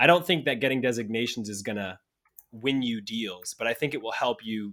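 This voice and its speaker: In a plain, everyday voice, a man speaks fairly quickly at a medium pitch with ordinary pitch variation, on a very clean recording with a silent background. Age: 30s. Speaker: insurance tech company founder and CEO. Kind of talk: interview.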